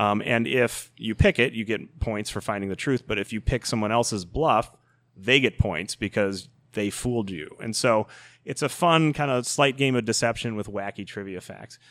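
In an American accent, a normal speaking voice keeps a moderate pace and shows ordinary pitch variation. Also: man, medium pitch for a man, very clean recording, silent background. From Chicago South Side suburbs. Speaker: video game company CEO. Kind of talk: podcast interview.

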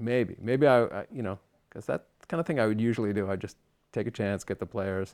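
A man speaks at a fairly quick pace in a fairly low pitch with ordinary pitch variation, an unremarkable speaking voice in a very clean recording with a silent background. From US Northeast (Long Island, New York). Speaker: composer. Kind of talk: interview. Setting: studio.

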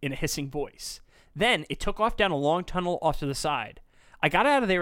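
The text is delivered as reading aloud in a natural voice.

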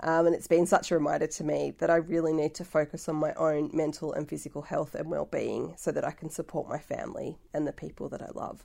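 A woman with an Australian accent speaks very fast, with hardly any pauses. Her loudness swings widely, and the background is quiet. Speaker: podcast host. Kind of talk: solo podcast monologue. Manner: warm, effusive.

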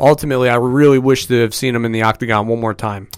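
Recorded very cleanly against a silent background, a man talks at a medium pitch with fairly even intonation. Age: 30s. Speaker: sports podcast panelist, coach. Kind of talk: casual chat. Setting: studio.

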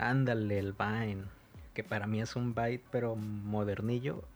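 Against music in the background, a man with a Mexican accent speaks at a fairly slow pace with a fairly low pitch and fairly even intonation. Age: 30s. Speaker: podcast co-host. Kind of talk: casual chat. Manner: halting.

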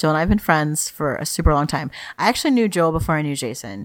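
A woman speaks at a fast pace with a low pitch. Her intonation is lively.

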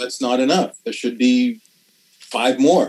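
A man speaks with a Canadian accent. His intonation stays fairly even. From Canadian Prairies, Saskatoon. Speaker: TV writer and actor. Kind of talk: casual interview.

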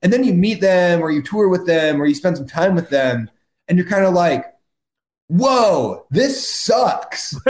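Loud and high-pitched, a man speaks at a fairly slow pace with lively intonation. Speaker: musician in a rock band. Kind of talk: casual chat. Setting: video call.

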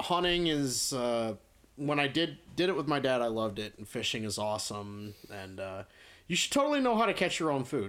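Lively intonation runs through a man's normal speaking voice, set at a medium pitch and a moderate pace. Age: 30s. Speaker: metal band musician. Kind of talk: casual chat.

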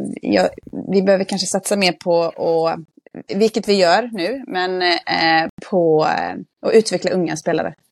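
A woman with medium pitch and ordinary pitch variation talks at a fairly slow pace in an ordinary speaking voice. The recording is very clean with a silent background, and the sound is dry and close with no echo. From Västergötland, Sweden. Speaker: football club manager and youth coach. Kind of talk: casual podcast interview.

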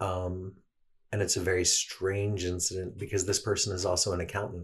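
A man's very deep, low, somewhat breathy voice at a moderate pace with monotone, flat intonation, on a very clean recording with a silent background. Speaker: guest sharing personal experience. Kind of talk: casual interview chat. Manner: verbose, talkative.

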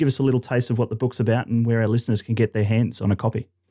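On a very clean recording with a silent background, a man speaks at a medium pitch with an Australian accent. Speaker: podcast host, marketing company CEO. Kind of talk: interview.

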